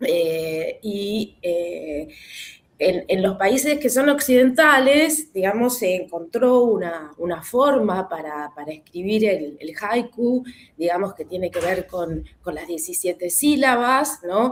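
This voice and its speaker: In a Rioplatense accent, a woman speaks very slowly at medium pitch with very wide pitch swings. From Argentina, Buenos Aires. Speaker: webinar participant. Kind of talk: casual group discussion. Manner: halting, many fillers.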